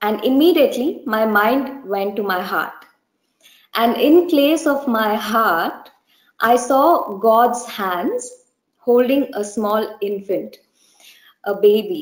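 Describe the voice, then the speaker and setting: A woman with an Indian accent, fairly high pitch and lively intonation at a very slow pace, with audible room echo and a quiet background. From India, Bangalore. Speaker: church member giving testimony. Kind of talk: testimony. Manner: hesitant, many fillers. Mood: earnest, gentle, reflective. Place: home room. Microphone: webcam.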